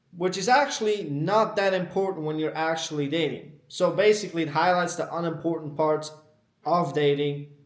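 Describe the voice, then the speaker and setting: A man with a non-native accent talks at a moderate pace, his pitch fairly high for a man and varying in an ordinary way. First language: not English. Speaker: dating advice youtuber. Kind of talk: unscripted monologue. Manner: casual, ranting.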